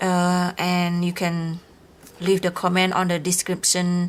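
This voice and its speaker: A woman of medium pitch is speaking. Her pace is fairly slow. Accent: non-native. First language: not English. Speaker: crafting YouTuber. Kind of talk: unboxing video. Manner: halting.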